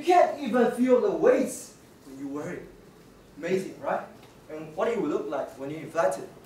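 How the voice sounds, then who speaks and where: A man speaks at a moderate pace with very wide pitch swings. Audible room echo surrounds his voice. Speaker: presenter. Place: classroom. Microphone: camera far.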